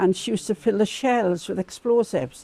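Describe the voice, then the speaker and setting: This voice has a dark, mellow tone and lively intonation, in a south Wales Valleys accent. The pace is moderate, and the sound is dry and close with no echo. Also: woman. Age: 80s+. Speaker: community campaigner. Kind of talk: interview storytelling.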